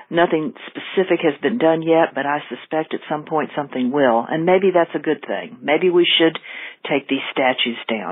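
The speaker has a Southern US accent and ordinary pitch variation. The pace is moderate. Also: woman, very deep, low pitch for a woman. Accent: Southern American. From US South. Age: 60s. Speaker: caller. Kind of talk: voicemail. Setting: phone call.

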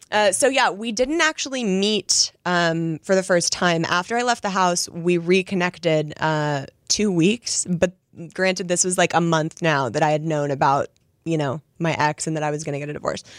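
Recorded very cleanly over a silent background, a woman speaks at a moderate pace in a fairly low voice with ordinary pitch variation. It is an unremarkable speaking voice, with a dry, close sound and no echo. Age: 30s. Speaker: guest sharing divorce story. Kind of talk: casual chat.

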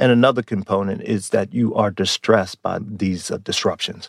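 A man with an American accent speaks in a normal speaking voice at a fairly low pitch, with ordinary pitch variation and a moderate pace. The recording is very clean and dry, close with no echo, over a silent background. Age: 50s. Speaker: psychology professor. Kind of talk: interview.

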